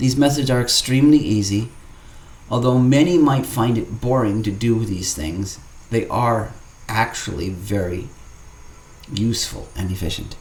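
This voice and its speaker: A man of medium pitch speaks with lively intonation and long, frequent pauses. Audible room echo surrounds his voice. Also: moderate pace. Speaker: gaming YouTuber. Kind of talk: gameplay tutorial narration. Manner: formal; stuttering.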